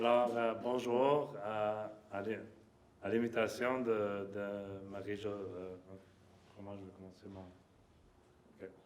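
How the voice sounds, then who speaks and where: With a non-native accent, a man speaks very slowly in a fairly low, monotone voice with flat intonation, over noticeable background noise and audible room echo. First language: not French (speaking French). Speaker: lab director and professor. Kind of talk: conference opening remarks. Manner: halting, many fillers.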